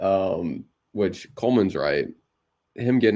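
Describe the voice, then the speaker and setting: A quiet male voice at a moderate pace. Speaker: fantasy football podcast co-host. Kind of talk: casual chat.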